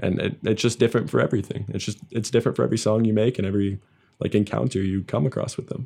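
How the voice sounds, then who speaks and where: At a very fast pace, a man with a fairly low, dark, mellow voice and vocal fry speaks with ordinary pitch variation. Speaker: podcast host. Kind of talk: casual interview.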